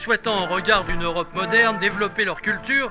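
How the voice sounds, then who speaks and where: Against music in the background, a man speaks in a raised, projected, solemn voice at high pitch, fairly quick in pace, with ordinary pitch variation. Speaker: voice-over narrator. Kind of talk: mock TV news report narration. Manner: formal, solemn.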